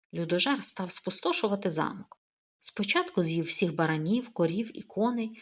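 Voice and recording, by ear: Against a quiet background, the clip features reading aloud in a natural voice.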